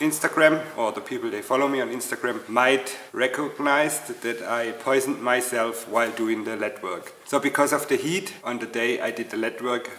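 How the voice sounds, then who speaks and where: Audible room echo follows a voice moving at a fairly slow pace with ordinary pitch variation. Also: man. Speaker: channel host. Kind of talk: casual vlog chat. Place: workshop.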